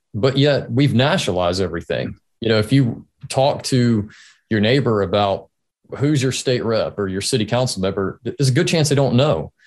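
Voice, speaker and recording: Against a quiet background, a man speaks in a normal speaking voice at a medium pitch and moderate pace, with lively intonation. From North Carolina, Greensboro. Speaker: state legislator. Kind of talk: interview.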